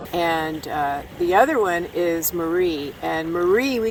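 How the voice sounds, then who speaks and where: A woman speaks at a very slow pace in a fairly low voice with ordinary pitch variation. Noticeable background noise runs underneath. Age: 60s. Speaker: recreational tiger shark diver. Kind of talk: interview.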